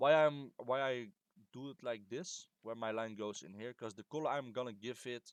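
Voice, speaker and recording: A man with a non-native accent and medium pitch, at a moderate pace with ordinary pitch variation, big swings in loudness and a dry, close sound with no echo. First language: not English. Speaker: game modder. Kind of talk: tutorial. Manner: halting; casual.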